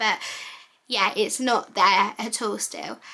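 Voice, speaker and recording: A woman speaks in a raised, projected voice with an English accent. Her tone is bright and sharp, with ordinary pitch variation at a moderate pace. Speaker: vlogger. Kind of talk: casual vlog talk.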